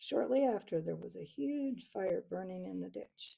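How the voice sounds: The clip features a natural reading voice.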